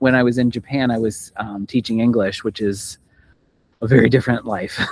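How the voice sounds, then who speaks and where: Speaking fairly quickly with an American accent, a man keeps his intonation fairly even. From Pennsylvania, US. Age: 40s. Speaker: world traveler. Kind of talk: casual chat.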